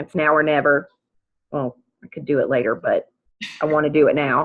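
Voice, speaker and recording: A woman with an American accent speaks at a moderate pace in a very deep, low voice. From US South, western North Carolina. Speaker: practice manager, challenge participant. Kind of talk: self-introduction on group call. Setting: video call.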